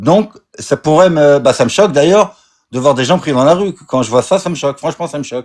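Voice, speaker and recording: Lively intonation marks this man's speech. His pitch is fairly high. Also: fairly quick pace. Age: 60s. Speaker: caller. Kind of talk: heated debate. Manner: halting.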